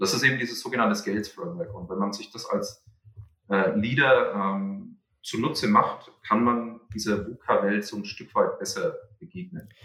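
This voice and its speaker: Speaking at a moderate pace, a man's loudness swings widely. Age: 30s. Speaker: entrepreneur and researcher. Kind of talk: podcast interview. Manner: halting, many fillers.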